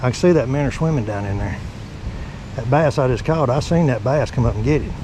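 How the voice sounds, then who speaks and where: With a Southern US accent, a man speaks very fast with ordinary pitch variation, amid noticeable background noise and audible room echo. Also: medium pitch for a man. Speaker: fishing channel host. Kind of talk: outdoor vlog narration. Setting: outdoors by a creek. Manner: animated.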